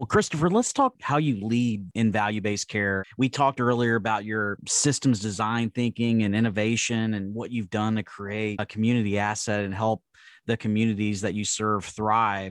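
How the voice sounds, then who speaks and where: In an ordinary speaking voice, a man talks at a moderate pace and fairly low pitch with fairly even intonation and hardly any pauses, the sound dry and close with no echo over a quiet background. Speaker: podcast host, physician. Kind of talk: interview.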